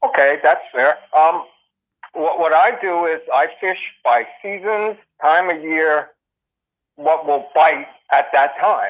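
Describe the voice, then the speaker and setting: This man has a fairly high pitch and ordinary pitch variation. He talks at a very slow pace with long, frequent pauses. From northern New Jersey. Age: 60s. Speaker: angler. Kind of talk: interview. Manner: halting, many fillers.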